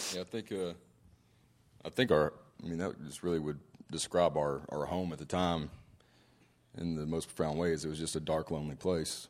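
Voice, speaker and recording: Long, frequent pauses and fairly even intonation. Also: man, very deep, low pitch for a man, moderate pace. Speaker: married couple speaker sharing testimony. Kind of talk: testimony. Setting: conference stage with audience.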